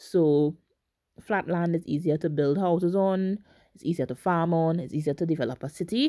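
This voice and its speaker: A woman at a fairly low pitch with ordinary pitch variation, a dark, mellow tone and a moderate pace, in a very clean recording with a silent background. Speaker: podcast host, geography student. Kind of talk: educational monologue.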